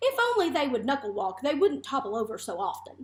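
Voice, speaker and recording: Putting on a character voice, a woman talks high-pitched at a fairly quick pace. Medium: read story. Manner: calm, mild.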